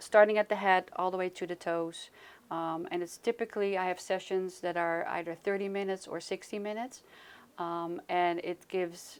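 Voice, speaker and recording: At a moderate pace, a woman with a Dutch accent speaks at a medium pitch. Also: very clean recording, silent background. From Netherlands. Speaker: Reiki practitioner and health coach. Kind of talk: interview. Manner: hesitant, many fillers.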